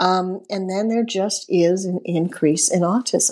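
Fairly even intonation at a medium pitch from a woman with an ordinary speaking voice. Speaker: nonprofit executive director. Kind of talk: casual interview.

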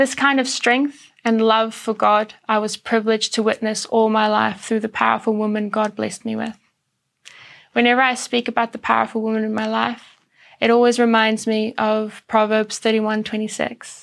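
A woman's fairly high voice with a South African accent, monotone and flat, at a moderate pace on a very clean recording with a silent background. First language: Afrikaans. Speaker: church speaker. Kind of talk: sermon.

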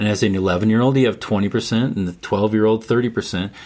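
Speaking in a plain, everyday voice, a man keeps to medium pitch with ordinary pitch variation. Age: 60s. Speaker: men's mentor and grandfather. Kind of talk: casual interview conversation.

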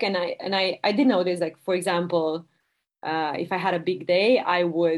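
Speaking at a moderate pace, a woman talks with a Romanian accent. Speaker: product director. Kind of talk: interview conversation.

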